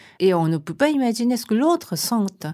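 With a Japanese accent, a woman speaks at a fairly slow pace in a dark, mellow tone, her pitch swinging very widely in a very clean recording with a silent background. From Japan, Tokyo. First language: Japanese (speaking French). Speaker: writer and translator. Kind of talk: interview. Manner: halting.

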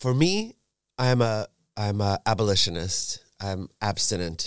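A man speaks very slowly with lively intonation. The recording is very clean with a silent background and a dry, close sound with no echo. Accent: American. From New York suburbs. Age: 50s. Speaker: drag performer. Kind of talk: casual chat. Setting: studio. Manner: animated.

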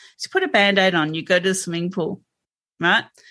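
This woman speaks with an Australian accent. Her pitch sits in the medium range. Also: quiet background. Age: 50s. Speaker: health coach. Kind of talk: interview. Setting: video call.

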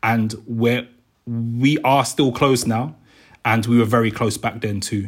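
In a very clean recording with a silent background, a man with a South London accent speaks at a fairly slow pace in a monotone, flat intonation. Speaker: youth worker and perpetrator program facilitator. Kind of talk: casual chat.

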